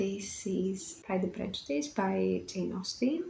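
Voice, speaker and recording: The speaker has a Greek accent and a fairly slow pace. Noticeable background noise runs underneath. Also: woman. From Greece. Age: 20s. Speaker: book vlogger. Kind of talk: casual vlog talk to camera. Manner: some hesitations and fillers.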